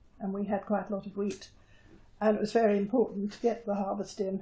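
A woman's dark, mellow voice, somewhat breathy. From Jersey, Channel Islands. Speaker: war-time occupation witness; witness. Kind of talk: oral history interview. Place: home room. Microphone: lapel.

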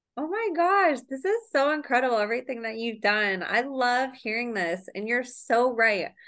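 A woman speaks at a moderate pace with lively intonation and a high pitch. The background is quiet. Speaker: podcast host. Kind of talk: interview. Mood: warm, enthusiastic. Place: home room. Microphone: video call.

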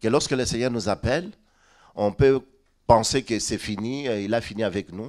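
A man talks fairly slowly with ordinary pitch variation. The background is quiet. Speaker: pastor. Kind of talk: sermon. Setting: church. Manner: repeats syllables when speaking. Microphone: handheld.

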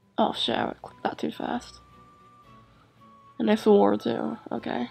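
A woman speaks at a fairly slow pace. Music is playing in the background. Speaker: gaming video creator. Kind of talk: casual gameplay commentary.

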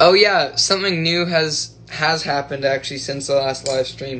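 A man is speaking. He talks at a moderate pace. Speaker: livestreamer. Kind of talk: casual livestream chat. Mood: cheerful, relaxed. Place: home room. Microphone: phone near.

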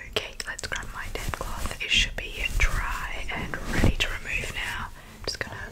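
At a moderate pace, a woman speaks in a whisper. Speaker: ASMR creator. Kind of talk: roleplay talk to viewer. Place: home room. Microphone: studio mic.

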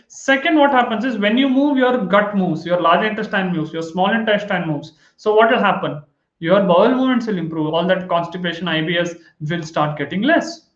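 In a quiet background with audible room echo, a man speaks at a fairly quick pace. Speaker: health educator. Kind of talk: lecture. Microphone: webcam.

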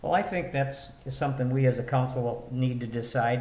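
A man with an American accent at a medium pitch, fairly quick and flat in a monotone, with audible room echo. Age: 60s. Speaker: city council member. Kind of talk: public meeting discussion.

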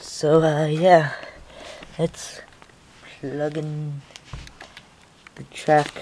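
The speech moves at a very slow pace with long, frequent pauses. Intonation is monotone and flat, and there is noticeable background noise. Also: woman, very deep, low pitch for a woman. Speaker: model train hobbyist reviewer. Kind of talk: product review, unboxing. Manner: casual, hesitant with fillers.

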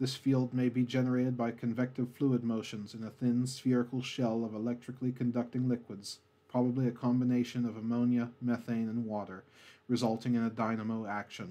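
Soft-spoken and at a fairly quick pace, a man talks at a medium pitch in a dark, mellow tone with monotone, flat intonation over a quiet background. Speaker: ASMR narrator. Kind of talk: educational space facts narration, ASMR style. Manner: soft-spoken, calm.

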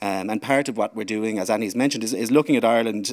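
A man's fairly low-pitched, unremarkable speaking voice keeps fairly even intonation over a quiet background. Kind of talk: speech introduction. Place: stage. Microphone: podium.

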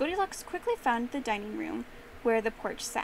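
A woman speaks fairly quickly in a high, playful voice with very wide pitch swings. Background noise is noticeable. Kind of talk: fairy-tale narration. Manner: animated storyteller; playful, voices characters.

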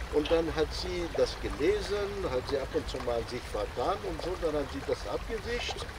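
A man at a moderate pace, with noticeable background noise and a dry sound free of echo. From Algeria. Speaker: inventor presenting his devices. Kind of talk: workshop talk; casual storytelling talk. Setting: outdoors. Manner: halting. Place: garden.

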